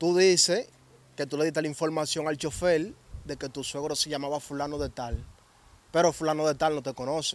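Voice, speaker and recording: A man speaks with a Dominican accent at a fairly quick pace, his pitch fairly high. His intonation stays fairly even, and the sound is dry with no echo. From Dominican Republic. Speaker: interviewer, channel host; interviewer. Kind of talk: interview. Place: open country. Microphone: handheld.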